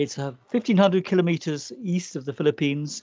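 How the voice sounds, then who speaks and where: A man with an unremarkable speaking voice talks at a moderate pace, his intonation lively. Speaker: editor at large. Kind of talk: news commentary.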